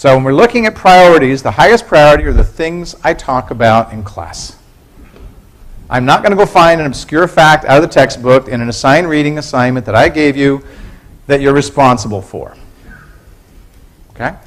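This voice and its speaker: A man with a fairly high pitch talks at a fairly quick pace with lively intonation, broken by long, frequent pauses. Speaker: university professor. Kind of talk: lecture. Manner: fast.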